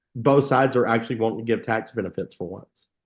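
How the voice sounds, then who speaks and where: Speaking at a very fast pace, a man uses a medium pitch with vocal fry. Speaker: tax advisor. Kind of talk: casual chat.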